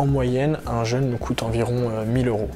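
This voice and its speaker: A man's intonation stays fairly even. Behind him, music plays. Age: 20s. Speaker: charity co-founder. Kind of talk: interview testimony. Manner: hesitant with fillers.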